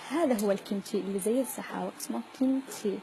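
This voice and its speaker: A woman with a Yemeni accent, medium pitch and ordinary pitch variation, over noticeable background noise. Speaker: student vlogger. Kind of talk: casual vlog.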